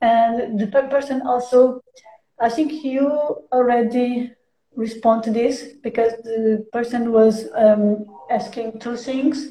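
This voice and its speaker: Very slow speech in a Portuguese accent with a dark, mellow tone and fairly even intonation. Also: woman. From Portugal. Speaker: stream host. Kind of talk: live stream interview. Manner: halting.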